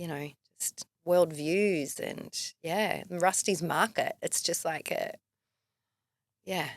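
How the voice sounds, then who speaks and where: A woman with an Australian accent speaks very slowly, with long, frequent pauses, fairly low pitch and fairly even intonation. The sound is dry and close, with no echo. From Melbourne, Australia. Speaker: filmmaker and writer. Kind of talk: casual interview chat.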